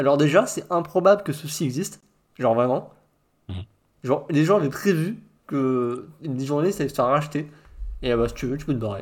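Talking at a fairly quick pace yet with long, frequent pauses, a man speaks at a fairly high pitch with ordinary pitch variation. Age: 40s. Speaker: podcast host. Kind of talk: casual chat.

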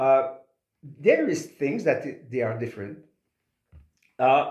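A man's very slow speech in a strong Quebec accent, with audible room echo. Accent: strong French Quebecois. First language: French. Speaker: singer. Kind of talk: interview. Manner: halting, many repetitions.

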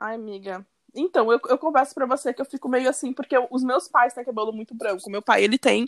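A woman speaks at a very fast pace in a high pitch with ordinary pitch variation. Her loudness swings a lot, and the sound is dry and close with no echo. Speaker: podcast co-host. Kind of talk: casual chat.

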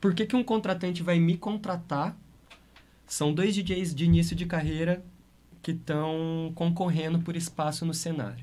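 A somewhat breathy man at a moderate pace. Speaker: DJ and music producer. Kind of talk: casual interview.

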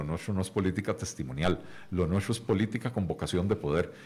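Very deep and low, a man's voice races along at a very fast pace. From Costa Rica. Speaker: economist and party leader. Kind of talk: radio interview. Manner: hesitant, many fillers and repetitions.

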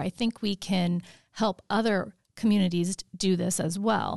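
An ordinary speaking voice from a woman of medium pitch, dry and close with no echo, over a quiet background. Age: 50s. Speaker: program organizer. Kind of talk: casual chat.

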